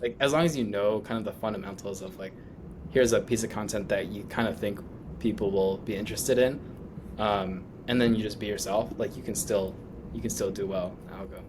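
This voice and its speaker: A man talks at a fairly low pitch and a fairly quick pace. Room echo is audible. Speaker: startup founder. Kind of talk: casual interview. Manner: monotone.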